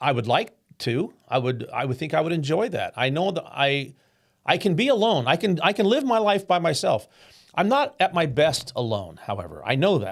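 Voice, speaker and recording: A man speaks at a moderate pace in a high voice with very wide pitch swings, on a very clean recording with a silent background. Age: 60s. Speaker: podcast host. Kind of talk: personal monologue. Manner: halting.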